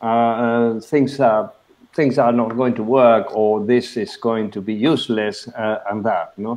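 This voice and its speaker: A man speaks in a Spanish accent at a fairly slow pace. His medium-pitched voice keeps fairly even intonation. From Argentina. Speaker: webinar moderator, platform director; webinar moderator. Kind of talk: webinar moderation. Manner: halting, many fillers. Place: home room. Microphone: video call.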